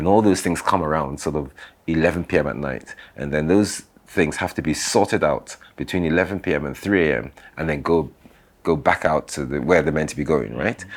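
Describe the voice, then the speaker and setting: Over a silent background in a very clean recording, this voice moves at a fairly quick pace with vocal fry and ordinary pitch variation. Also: man, very deep, low pitch for a man. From London, England (70s), later Nigeria. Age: 60s. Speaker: business founder and architect. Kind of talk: interview storytelling. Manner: hesitant, repeats words.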